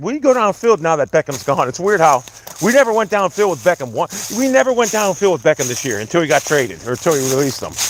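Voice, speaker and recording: A man talks loudly in an animated tone at a fairly quick pace over noticeable background noise. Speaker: sports livestreamer. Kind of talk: casual livestream rant. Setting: outdoors, walking in the woods.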